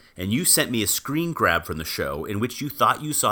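Over a silent background in a very clean recording, a bright, sharp voice moves at a fairly quick pace with very wide pitch swings. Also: man. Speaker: television producer. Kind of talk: casual podcast chat with scripted reading.

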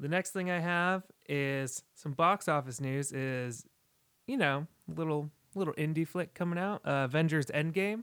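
On a very clean recording with a silent background and a dry, close sound with no echo, a man talks at a moderate pace. He has a fairly high pitch, ordinary pitch variation and an unremarkable speaking voice. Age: 20s. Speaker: podcast co-host. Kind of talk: casual chat. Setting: studio.

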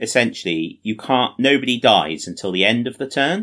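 In a British accent, a man speaks at a fairly quick pace with lively intonation and a bright, sharp tone on a very clean recording with a silent background. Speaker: podcast host. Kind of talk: casual chat. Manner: self-deprecating, joking.

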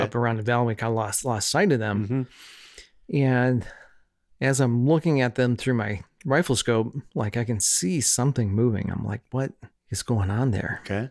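A man uses a normal speaking voice at medium pitch with ordinary pitch variation and a moderate pace. The recording is very clean with a silent background. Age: 40s. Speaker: podcast guest, churchgoer and worship guitarist. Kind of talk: casual chat. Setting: in person, in a house.

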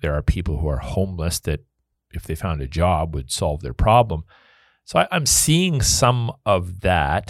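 Vocal fry and lively intonation mark this fairly slow voice, captured in a very clean, dry, close recording with a silent background and no echo. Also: man, very deep, low pitch for a man. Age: 50s. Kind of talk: casual chat.

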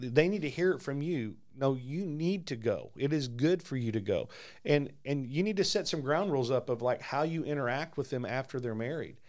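A man with an unremarkable speaking voice, fairly high in pitch with ordinary variation, talks at a moderate pace with hardly any pauses. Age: 50s. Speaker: pastor. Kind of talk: casual chat about faith.

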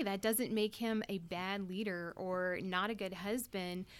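On a very clean recording with a silent background, a woman uses a plain, everyday voice at a medium pitch with ordinary pitch variation. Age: 30s. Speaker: wife and mother, panel guest. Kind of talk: casual panel discussion.

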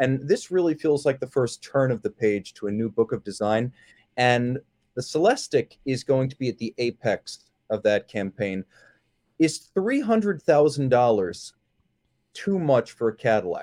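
A man with a normal speaking voice talks at a moderate pace in a dry, close sound with no echo. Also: medium pitch for a man, lively intonation. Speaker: podcast host. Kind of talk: casual chat.

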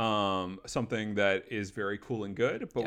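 At a medium pitch and a moderate pace, a man talks in an unremarkable speaking voice. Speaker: podcast host. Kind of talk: casual chat.

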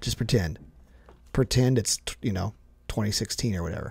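Speaking at a moderate pace, a man has a somewhat breathy voice of medium pitch. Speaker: youth pastor, podcast co-host. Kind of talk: casual podcast chat.

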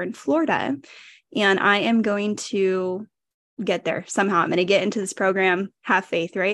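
With an American accent and a normal speaking voice, a woman talks at a medium pitch and moderate pace with ordinary pitch variation. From California. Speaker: podcaster. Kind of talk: casual interview.

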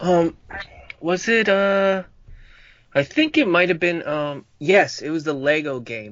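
Very slowly, with long, frequent pauses, a man speaks at a high pitch with lively intonation. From Uruguay. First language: Spanish. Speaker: dinosaur toy collector and fan. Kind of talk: casual chat. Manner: halting.

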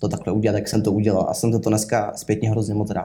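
A man speaks at a medium pitch. His tone is dark and mellow, somewhat breathy. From southern Bohemia, Czechia. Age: 20s. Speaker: sales manager. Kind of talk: interview. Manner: halting.

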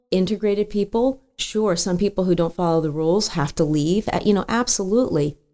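A woman with a medium pitch speaks in a dark, mellow tone. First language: Spanish. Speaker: immigration policy advisor. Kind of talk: interview.

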